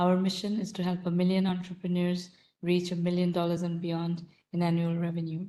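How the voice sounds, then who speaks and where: A soft-spoken woman at a fairly low pitch, dark and mellow in tone, with monotone, flat intonation and a fairly quick pace. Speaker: roundtable host for entrepreneurs. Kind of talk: live online mentoring session.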